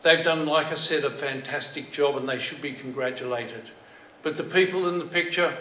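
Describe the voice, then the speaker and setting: In a room with audible echo, a man with an Australian accent speaks at a fairly quick pace in a fairly high pitch with fairly even intonation. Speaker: former telecom worker. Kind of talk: presentation. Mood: admiring, congratulatory. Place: hall. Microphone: podium.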